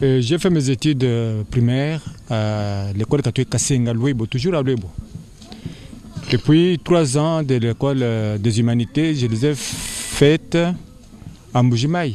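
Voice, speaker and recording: Long, frequent pauses break up a man's fairly slow speech. His medium pitch shows ordinary variation over noticeable background noise. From DR Congo, Kasai (Luebo). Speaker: school director. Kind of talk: interview. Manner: halting.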